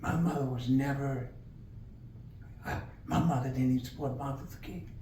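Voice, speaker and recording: A medium-pitched man at a fairly quick pace, with fairly even intonation and noticeable background noise. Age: 80s+. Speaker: community elder recalling history. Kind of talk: interview answer.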